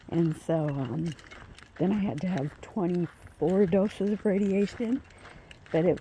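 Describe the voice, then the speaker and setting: Quiet and very slow, a woman speaks at a fairly low pitch with ordinary pitch variation over noticeable background noise. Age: 50s. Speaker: vlogger walking her dogs. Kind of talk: casual vlog chat. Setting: outdoors on a walk. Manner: quiet, hard to hear.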